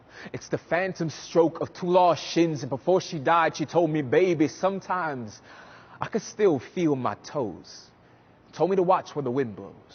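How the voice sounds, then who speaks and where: A man talks at a fairly high pitch and a moderate pace with ordinary pitch variation. It is an ordinary speaking voice. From US South, New Orleans. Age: 20s. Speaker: spoken word poet. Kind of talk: spoken word performance. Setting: stage.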